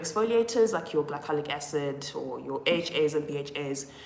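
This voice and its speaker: A woman's voice with ordinary pitch variation comes with audible room echo and noticeable background noise. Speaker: skincare influencer. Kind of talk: live stream Q&A.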